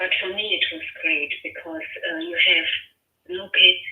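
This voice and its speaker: A woman speaks with a German accent at a very slow pace. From Germany. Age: 50s. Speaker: homeowner receiving a cold call. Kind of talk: phone conversation. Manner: hesitant, many fillers.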